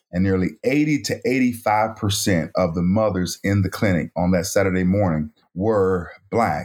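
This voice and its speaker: A man with an American accent, an ordinary speaking voice, fairly low pitch, a fairly slow pace and lively intonation, on a very clean recording with a silent background. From North Carolina, US South. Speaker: author and pro-life activist. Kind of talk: interview.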